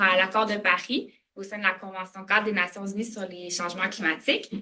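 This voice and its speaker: Talking at a moderate speed, a woman holds a medium pitch with monotone, flat intonation. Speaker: government adviser on international affairs. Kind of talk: lecture. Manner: halting, many fillers.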